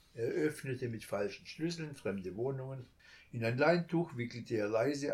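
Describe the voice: The voice is plain. It is reading aloud.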